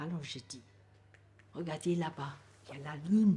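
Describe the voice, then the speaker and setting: In a somewhat breathy voice, this woman keeps a moderate pace. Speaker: grandmother sharing life story. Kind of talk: life story interview.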